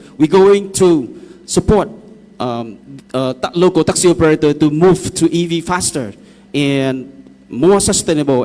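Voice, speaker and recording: A man's fairly high pitch in a Vietnamese accent, dark and mellow in tone, with ordinary pitch variation at a moderate pace. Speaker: EV taxi company representative. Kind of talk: public consultation presentation. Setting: public hall meeting. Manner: halting.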